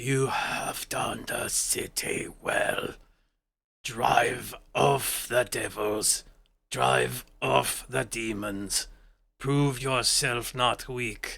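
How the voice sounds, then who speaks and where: Putting on a raspy character voice, a man talks at a very slow pace. His pitch is medium. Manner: solemn, commanding.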